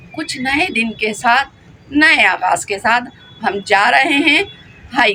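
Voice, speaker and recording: Her tone animated and her pitch high, a woman speaks. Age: 60s. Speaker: vlogger. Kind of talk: casual vlog monologue. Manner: talkative.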